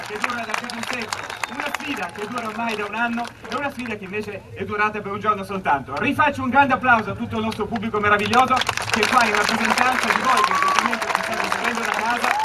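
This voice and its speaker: With crowd noise in the background, a man talks at a very fast pace using ordinary pitch variation. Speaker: TV show host. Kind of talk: live show hosting. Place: open country.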